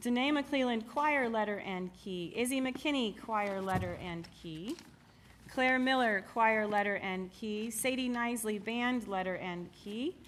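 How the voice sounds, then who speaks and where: A woman with a normal speaking voice, fairly high in pitch, at a fairly slow pace with ordinary pitch variation. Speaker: music teacher. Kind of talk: awards ceremony announcements.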